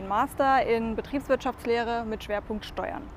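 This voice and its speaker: Noticeable background noise sits behind this speaker. She is a woman with a fairly high pitch. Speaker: tax advisor. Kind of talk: casual interview. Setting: on location over lunch.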